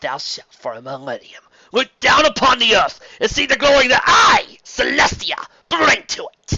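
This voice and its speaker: A man's raised, projected, raspy put-on character voice, extremely high in pitch, at a moderate pace. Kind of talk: read story. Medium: read story.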